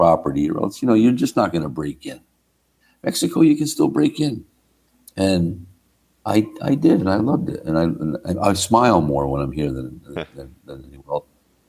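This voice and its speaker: With a New Jersey accent, a man talks at a fairly quick pace in a dark, mellow tone, his pitch swinging very widely and dipping into vocal fry. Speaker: rock drummer. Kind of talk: podcast interview answer.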